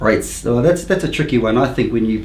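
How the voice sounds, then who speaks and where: With audible room echo and noticeable background noise, a man at medium pitch talks at a very fast pace. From New Zealand, Rotorua. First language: Māori. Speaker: council candidate. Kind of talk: interview. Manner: halting, many fillers.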